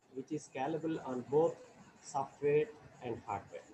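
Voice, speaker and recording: A man speaks at a moderate pace with a fairly high pitch. His voice is somewhat breathy, with a dark, mellow tone. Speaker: professor. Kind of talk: lecture. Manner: halting, many fillers. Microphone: too quiet at first.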